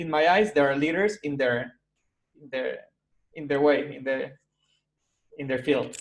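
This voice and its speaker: Slow-paced and marked by long, frequent pauses, a man speaks at a fairly high pitch with ordinary pitch variation and big swings in loudness. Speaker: interviewer, podcast host. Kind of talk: interview questions.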